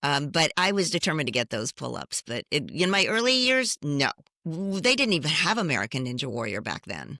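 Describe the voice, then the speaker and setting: A woman speaks at a fairly quick pace, her very deep, low pitch making very wide swings. Her bright, sharp tone has vocal fry, and the sound is dry and close with no echo. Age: 70s. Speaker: fitness competitor. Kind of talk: interview.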